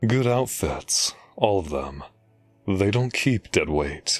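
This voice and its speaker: Over faint music in the background, a man puts on a character voice with a fairly low pitch, very wide pitch swings and a fairly slow pace. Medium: audio drama. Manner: curt, authoritative.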